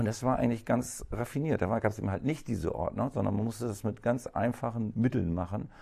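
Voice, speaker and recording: Very fast, nearly pauseless speech in a dark, mellow tone with vocal fry, over a quiet background. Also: man, medium pitch for a man, ordinary pitch variation. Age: 50s. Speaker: cleaning company owner. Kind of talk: interview. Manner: hesitant, many fillers.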